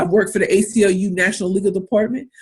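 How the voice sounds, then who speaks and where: The woman's voice is somewhat breathy. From US Midwest, inner-city St. Louis, Missouri. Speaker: pitch coach and entrepreneur. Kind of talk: webinar talk. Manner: animated.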